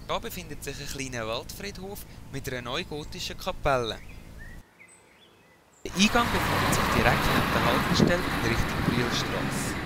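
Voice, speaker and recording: A man talks at a moderate pace with a Swiss accent, leaving long, frequent pauses. There is noticeable background noise. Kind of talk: documentary voice-over narration.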